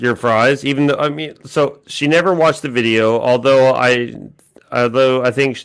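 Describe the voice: The clip consists of plain reading aloud.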